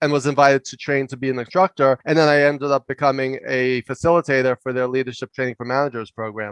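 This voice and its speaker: A New York accent at a fairly quick pace, in a dry, close sound with no echo. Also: man. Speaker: leadership coach and professor. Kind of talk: interview storytelling. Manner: loud and fast.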